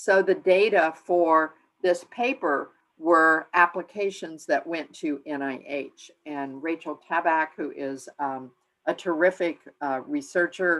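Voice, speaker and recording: Speaking very slowly, a woman with a fairly low pitch comes through on a very clean recording with a silent background. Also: ordinary pitch variation. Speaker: implementation science researcher, guest speaker. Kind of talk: lecture. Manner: hesitant, many fillers.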